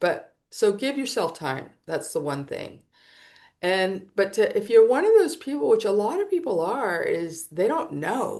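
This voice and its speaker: The voice has a dark, mellow tone and very wide pitch swings, moving at a fairly slow pace against a quiet background. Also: woman, fairly high pitch for a woman. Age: 60s. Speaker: psychotherapist and spiritual coach. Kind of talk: interview conversation. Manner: halting, with many restarts.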